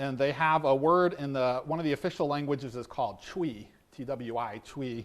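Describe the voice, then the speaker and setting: A fairly high male voice, moderate in pace, with ordinary pitch variation. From US, East Coast or Midwest. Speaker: pastor and seminary teacher. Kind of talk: sermon. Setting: church service. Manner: halting, many fillers; informal.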